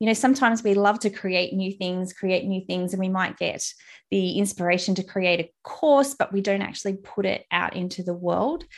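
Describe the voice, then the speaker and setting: In a very clean recording with a silent background, a woman speaks at a moderate pace with an Australian accent. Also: medium pitch for a woman, ordinary pitch variation. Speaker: podcast host, content strategist. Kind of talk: casual interview chat. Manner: friendly and smiley.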